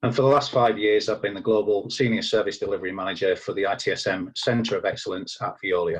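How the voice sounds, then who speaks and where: A man in a strong English accent at a very fast pace. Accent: thick English. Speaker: IT service manager. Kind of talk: conference presentation. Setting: recorded at home.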